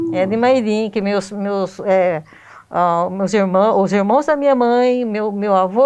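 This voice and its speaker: Pitched fairly high, a woman speaks very slowly with lively intonation. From Brazil, Iperó, São Paulo state. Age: 60s. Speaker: local resident, family history researcher. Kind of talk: interview. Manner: halting.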